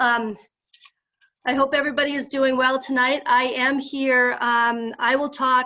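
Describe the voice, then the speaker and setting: Raising and projecting her voice, a woman speaks at a high pitch and fairly slow pace. Her intonation is monotone and flat. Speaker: psychologist and health system leader. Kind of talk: presentation to a group.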